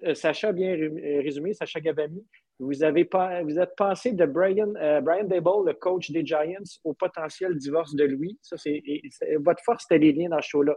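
A man's high voice at a fairly slow pace with ordinary pitch variation. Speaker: podcast co-host. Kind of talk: casual chat.

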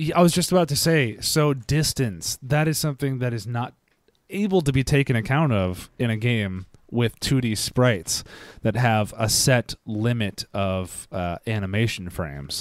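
On a very clean recording with a silent background, a man speaks in a plain, everyday voice with an American accent, at medium pitch, with lively intonation and a moderate pace. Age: 30s. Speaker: video game podcast co-host. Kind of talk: casual chat.

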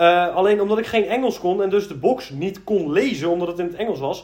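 Here a man speaks at a high pitch with ordinary pitch variation. His pace is fairly quick. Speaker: gaming podcast co-host. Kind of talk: casual chat.

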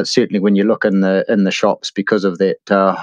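With a New Zealand accent, a man speaks at a fairly quick pace and fairly low pitch, the sound dry and close with no echo. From New Zealand, Hawke's Bay. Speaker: mountain bike hire and tour operator. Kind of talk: interview. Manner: halting.

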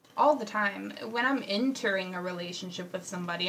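Moderate pace over noticeable background noise. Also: woman. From Houston, Texas. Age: 20s. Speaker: podcast co-host. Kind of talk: casual chat.

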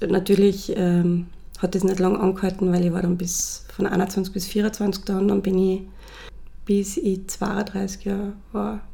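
A woman speaks very slowly at a medium pitch in a dark, mellow tone. Her intonation is monotone and flat, with vocal fry. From Austria, Salzburg. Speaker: cosmetics brand founder. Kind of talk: interview.

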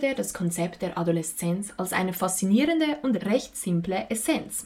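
A woman with a dark, mellow tone and a somewhat breathy voice speaks at a moderate pace with lively intonation. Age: young. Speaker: student podcast host. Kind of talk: scripted narration.

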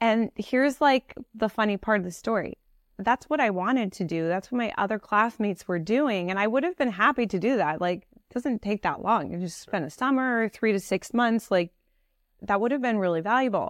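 The intonation is lively, and the sound is dry and close with no echo over a quiet background. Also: woman, fairly high pitch for a woman, moderate pace. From US West Coast, San Francisco Bay Area. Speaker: fashion and interior designer. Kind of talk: interview. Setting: at her home.

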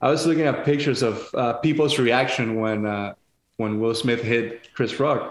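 Here a man speaks with a Spanish accent at a moderate pace. His pitch variation is ordinary. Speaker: chef and podcast co-host. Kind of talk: casual chat.

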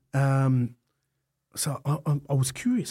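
An Australian-accented man with a dark, mellow tone on a very clean recording with a silent background. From Melbourne, Australia. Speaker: fire industry business owner. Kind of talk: casual interview.

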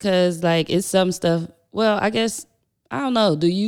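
A woman at a medium pitch, with ordinary pitch variation. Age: 30s. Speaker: podcast co-host. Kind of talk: casual chat.

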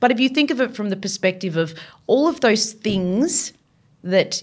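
Her intonation lively, a woman talks with an Australian accent. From Victoria, Australia. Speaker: marine biologist. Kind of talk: interview. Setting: studio.

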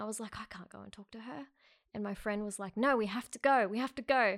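In an Australian accent, a woman speaks fairly quickly at a fairly high pitch with ordinary pitch variation, on a very clean recording with a silent background. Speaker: podcast guest, film crew worker. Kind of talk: casual chat.

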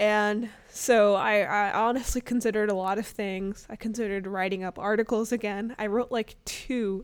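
A fairly even intonation with an American accent, on a very clean recording with a silent background. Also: woman. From US South, Arkansas; also Chicago suburbs. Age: 20s. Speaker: amateur podcaster, recent college graduate. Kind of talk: casual monologue. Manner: hesitant, many fillers.

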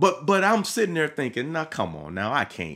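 An animated, enthusiastic man with a Mississippi accent, a bright, sharp tone and lively intonation, on a very clean recording with a silent background. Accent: Southern US, Mississippi. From Mississippi, US South. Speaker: pastor and podcast host. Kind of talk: podcast sermon monologue. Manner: casual with many fillers and repetitions.

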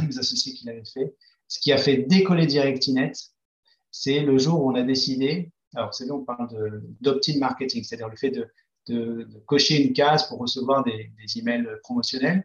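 A fairly quick, somewhat breathy man's voice, fairly high in pitch, with big swings in loudness. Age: 40s. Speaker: entrepreneur. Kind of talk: interview. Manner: halting, many hesitations.

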